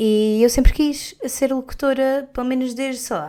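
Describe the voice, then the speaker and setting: Pitch variation stays ordinary as this woman talks with a high voice. The background is silent, and the recording very clean. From Portugal, Algarve. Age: 20s. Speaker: podcast host, communication student. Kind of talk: solo podcast monologue. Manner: casual, hesitant with fillers.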